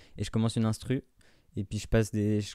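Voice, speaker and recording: A man's dark, mellow voice at a fairly quick pace, on a very clean recording with a silent background. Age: 20s. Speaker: YouTube musician. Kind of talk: casual interview.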